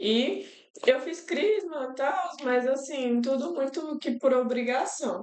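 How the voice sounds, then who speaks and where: A high-pitched woman's voice with lively intonation at a very slow pace. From Brazil, Federal District (Brasília area). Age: 20s. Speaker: university student and NGO worker, host's fiancée. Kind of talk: podcast interview, personal testimony. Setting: live-streamed podcast.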